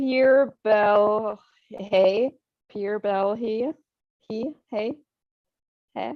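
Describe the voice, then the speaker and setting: A woman with a fairly high voice speaks at a very slow pace, her pitch varying in an ordinary way and her speech broken by long, frequent pauses. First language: not English. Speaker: actress. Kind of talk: casual chat.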